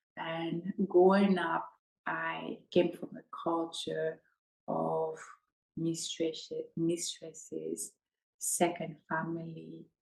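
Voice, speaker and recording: Speaking very slowly with long, frequent pauses, a woman talks in a West African accent. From Ivory Coast, West Africa. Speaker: podcast host, healing coach. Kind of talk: personal storytelling monologue.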